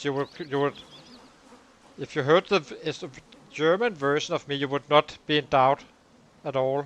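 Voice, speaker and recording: A fairly high-pitched man with a Danish accent, fairly quick yet with long, frequent pauses, fairly even intonation, and a dry, close sound with no echo. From Denmark. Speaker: gaming streamer. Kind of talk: live gameplay commentary with chat. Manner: hesitant, many filler words.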